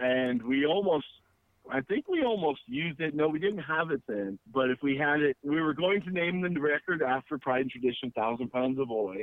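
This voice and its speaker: A man talks in an ordinary speaking voice at a fairly high pitch. His pace is moderate and his pitch variation ordinary. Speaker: punk band musician. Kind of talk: casual interview.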